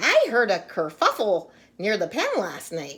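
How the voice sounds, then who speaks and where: At a moderate pace, a female-sounding voice puts on a character voice with a middle pitch. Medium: read story.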